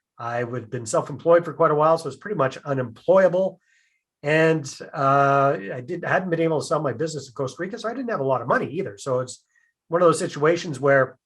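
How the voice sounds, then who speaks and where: A man's somewhat breathy, fairly high voice with a Canadian accent, very fast delivery and ordinary pitch variation. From Canada. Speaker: real estate investor. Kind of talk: podcast interview.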